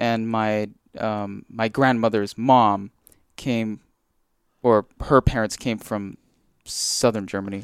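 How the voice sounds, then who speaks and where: On a very clean recording with a silent background, a man speaks very slowly in a monotone, flat intonation with long, frequent pauses. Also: dry, close sound with no echo. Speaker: Dominican novice. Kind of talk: interview. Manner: halting.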